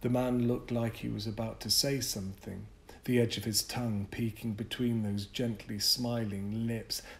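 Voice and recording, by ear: Fairly even intonation in reading aloud in a natural voice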